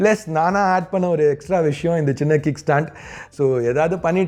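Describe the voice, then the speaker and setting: His pitch sits fairly high, and this man has an ordinary speaking voice with ordinary pitch variation. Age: 30s. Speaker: tech YouTuber. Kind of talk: tech review. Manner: conversational.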